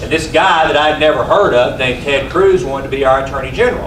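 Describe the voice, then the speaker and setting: With an East Texas accent, a man talks at a fairly quick pace in a fairly high pitch with lively intonation, over audible room echo and noticeable background noise. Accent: East Texas Southern US. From East Texas, Sulphur Springs. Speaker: regional director for a senator, speaker at political meeting. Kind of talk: speech to local group. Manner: loud.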